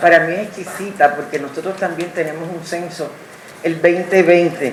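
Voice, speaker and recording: Over noticeable background noise, a woman talks at a fairly slow pace. Room echo is audible. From Puerto Rico. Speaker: audience member. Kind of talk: public comment.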